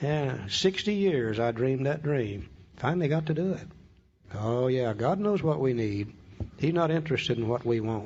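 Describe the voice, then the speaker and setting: Somewhat breathy and at a medium pitch, a man speaks at a moderate pace with lively intonation and very even loudness, with audible room echo around him. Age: 60s. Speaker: AA speaker, recovering alcoholic. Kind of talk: talk on recovery steps with reading aloud. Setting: room with audience.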